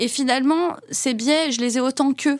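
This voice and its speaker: Recorded with a dry, close sound and no echo, a woman speaks at a moderate pace in a high pitch with fairly even intonation. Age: 40s. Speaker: business executive. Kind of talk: interview.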